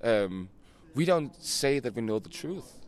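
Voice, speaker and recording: A man with a Danish accent in a very clean recording with a silent background. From Denmark. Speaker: band singer. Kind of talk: casual interview. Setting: outdoors.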